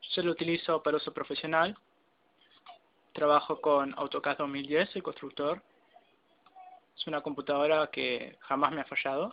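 The speaker keeps a moderate pace but takes long, frequent pauses. Light background noise is present. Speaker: computer owner demonstrating PC. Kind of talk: tutorial. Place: home room. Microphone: phone near.

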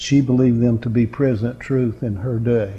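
A man speaks in a dark, mellow tone that is somewhat breathy. His intonation stays monotone and flat. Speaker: preacher. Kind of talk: sermon. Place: classroom.

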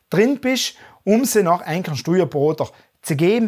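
Against a quiet background, a man talks with a high pitch and lively intonation. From South Tyrol, Passeier valley; South Tyrol, Italy. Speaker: finance YouTuber. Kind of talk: interview. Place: home room.

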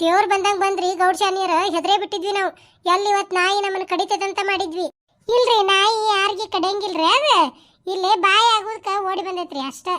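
A woman's cartoonish character voice, extremely high in pitch, at a fairly slow pace with fairly even intonation. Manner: respectful, uses "ri" honorifics.

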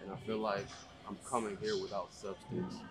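Clear music plays in the background. A man talks at a fairly quick pace. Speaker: vlogger working out. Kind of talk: casual vlog chat. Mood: reflective, self-doubting. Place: gym. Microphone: camera far.

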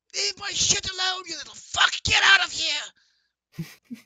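In a put-on character voice pitched extremely high, the speaker talks at a fairly slow pace. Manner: angry, shouting threats.

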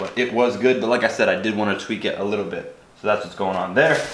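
Fairly low in pitch with fairly even intonation, a man speaks amid audible room echo and light background noise. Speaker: vlogger. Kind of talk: casual vlog chat. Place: kitchen. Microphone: camera far.

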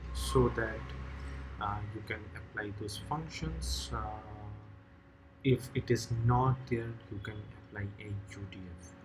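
A man's fairly low voice at a very slow pace, with music in the background. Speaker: programming tutor. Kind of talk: tutorial. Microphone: webcam.

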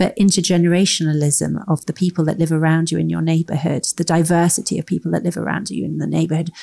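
A woman in a London accent talks at a very fast pace. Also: dry, close sound with no echo. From London, England. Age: 40s. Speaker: author and brand strategist. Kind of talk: interview conversation.

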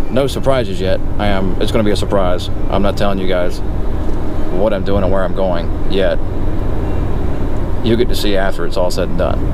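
Loud noise fills the background as the speech moves along at a fairly quick pace. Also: man. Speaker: truck driver vlogger. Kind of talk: casual vlog chat. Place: car. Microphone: phone near.

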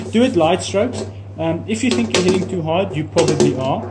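Fairly quick pace from a man, with loud background noise behind him. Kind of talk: tutorial. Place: workshop. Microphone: phone near.

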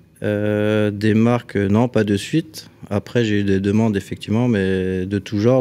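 A man talks at a fairly slow pace in a fairly low pitch. His tone is dark and mellow, with fairly even intonation. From Alsace, France (Strasbourg). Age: 40s. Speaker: cabinetmaker and DIY content creator. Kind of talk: casual chat. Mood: relaxed, light humour. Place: studio. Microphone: studio mic.

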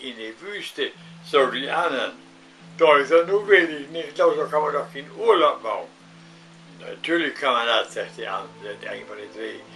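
Faint music plays behind a man with a northern German accent who speaks at a moderate pace with big swings in loudness. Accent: Low German (Plattdeutsch). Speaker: joke teller; grandfather storyteller. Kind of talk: joke telling. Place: home room. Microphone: webcam.

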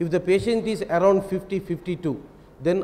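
This clip features a man's voice. Its pitch shows ordinary variation. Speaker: eye surgeon; panelist. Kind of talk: panel discussion. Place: hall. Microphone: handheld.

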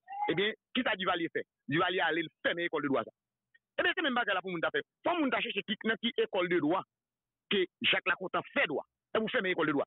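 A man's high voice with a Haitian accent, very fast yet broken by long, frequent pauses, with lively intonation, a dry sound with no echo and a quiet background. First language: Haitian Creole (speaking French). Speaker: political commentator. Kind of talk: political talk show discussion. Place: studio.

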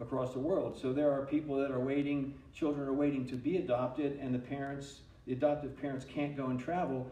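There is audible room echo as a man speaks with fairly even intonation. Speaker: pastor. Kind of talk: sermon. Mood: earnest, calm. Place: church.

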